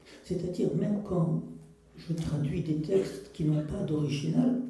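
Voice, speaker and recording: Through audible room echo and noticeable background noise, a man talks at a fairly slow pace. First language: Russian (speaking French). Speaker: poet and translator. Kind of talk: public talk.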